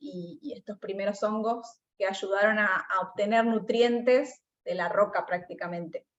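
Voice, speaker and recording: A woman speaks in a plain, everyday voice at a fairly slow pace, her fairly high pitch showing ordinary variation. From Argentina, Buenos Aires province. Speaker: mycologist researcher. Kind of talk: Q&A after online talk.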